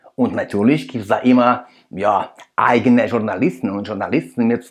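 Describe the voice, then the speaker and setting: A man with a non-native accent and fairly even intonation, against a quiet background. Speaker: political commentator, video creator. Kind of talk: commentary analysis addressed to viewers. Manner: halting, with fillers.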